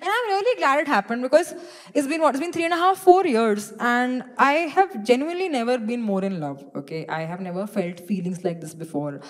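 A woman talks at a very fast pace with very wide pitch swings. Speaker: stand-up comedian. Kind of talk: stand-up comedy routine. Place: stage. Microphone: handheld.

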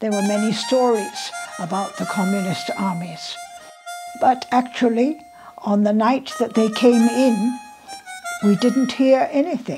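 Over clear music in the background, a woman with a fairly high pitch talks at a fairly slow pace with lively intonation and long, frequent pauses. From Shanghai, China. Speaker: interviewee recalling history. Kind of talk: interview answer. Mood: earnest, warm reminiscing. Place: home room. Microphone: lapel.

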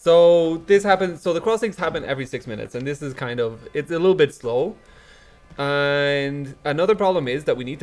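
A man at a fairly quick pace with ordinary pitch variation, faint music in the background. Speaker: blockchain researcher; conference presenter. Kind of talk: conference talk. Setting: stage with audience. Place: hall.

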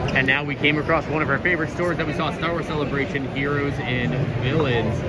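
A man talks. Behind him, music plays. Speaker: vlogger. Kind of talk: casual vlog chat. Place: hall. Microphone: phone near.

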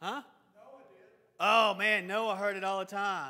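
A man with a Tennessee accent uses a raised, projected voice. His tone is bright and sharp. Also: quiet background. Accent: Southern US (Tennessee). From US South, Lawrenceburg, Tennessee. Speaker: Bible class teacher. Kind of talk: Bible class lecture. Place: church.

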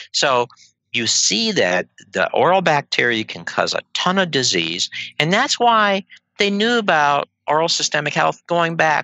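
A bright, sharp tone moves through very wide pitch swings, recorded dry with no echo against a quiet background. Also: man. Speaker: guest. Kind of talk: interview answer. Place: home room. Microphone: headset.

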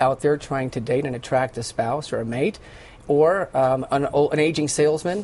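Moderately paced speech from a man, pitch moving in an ordinary way. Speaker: guest. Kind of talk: interview answer. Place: studio. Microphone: lapel.

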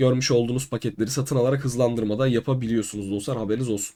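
A man's dark, mellow voice holds a fairly even intonation on a very clean recording with a silent background. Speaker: crypto YouTuber. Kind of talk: tutorial.

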